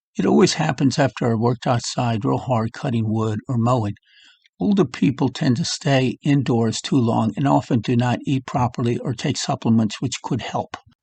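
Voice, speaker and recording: A somewhat breathy voice at a moderate pace, with ordinary pitch variation, recorded dry and close with no echo against a quiet background. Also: man, medium pitch for a man. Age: 70s. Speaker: health vlogger. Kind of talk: casual monologue. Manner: halting.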